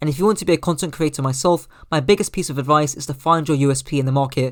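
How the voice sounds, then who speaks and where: A man in a British accent, fairly high-pitched, very fast, with ordinary pitch variation. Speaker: gaming YouTuber. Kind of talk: scripted narration.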